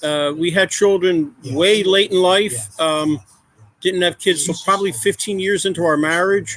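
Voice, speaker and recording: A man talks loudly at a fairly slow pace. His pitch is high, with ordinary pitch variation. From Philadelphia area, US. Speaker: adoptive father. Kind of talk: podcast interview.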